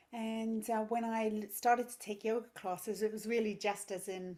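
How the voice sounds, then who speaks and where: Here a woman talks with an English accent at a fairly high pitch. She keeps a moderate pace. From England. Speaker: yoga teacher and parenting coach. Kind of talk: podcast interview.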